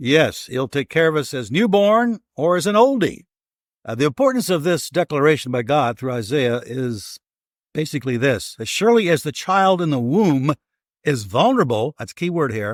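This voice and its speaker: Fairly high in pitch with very wide pitch swings, a man's voice comes through dry and close with no echo in a very clean recording with a silent background. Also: moderate pace. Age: 70s. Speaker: pastor; podcast host. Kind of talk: bible teaching podcast chat.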